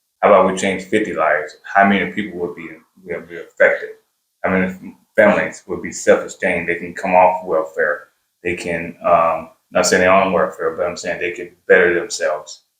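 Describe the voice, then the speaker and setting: Talking fairly quickly, a man's voice has big swings in loudness. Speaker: welding school founder. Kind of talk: interview. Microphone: too quiet on mic.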